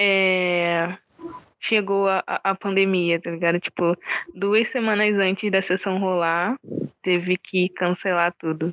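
Her intonation monotone and flat, a woman speaks at a very slow pace. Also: medium pitch for a woman. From Rio de Janeiro suburbs, Oswaldo Cruz. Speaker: film director. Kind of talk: interview. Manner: casual, slangy.

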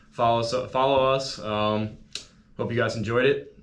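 In a room with audible echo, a man of medium pitch speaks at a moderate pace with fairly even intonation. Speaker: college student social media account runner. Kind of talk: casual chat.

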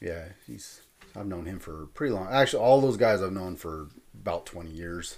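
This man has a very deep, low pitch and an American accent. His intonation is lively, with big swings in loudness. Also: moderate pace. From Southern California (Fillmore, Ventura County). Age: 40s. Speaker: hardcore punk musician. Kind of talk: casual interview chat. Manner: halting.

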